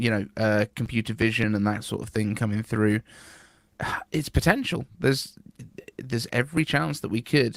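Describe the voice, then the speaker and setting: With a British accent, a man speaks at medium pitch and a moderate pace with ordinary pitch variation, leaving long, frequent pauses, in a dry, close sound with no echo. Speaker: podcast host. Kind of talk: casual podcast conversation.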